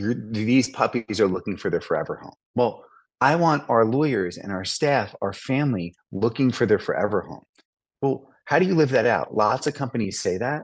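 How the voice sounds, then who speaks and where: A man talks at a medium pitch with lively intonation. The background is quiet. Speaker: law firm founder and partner. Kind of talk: podcast interview. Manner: fast; dramatic pauses.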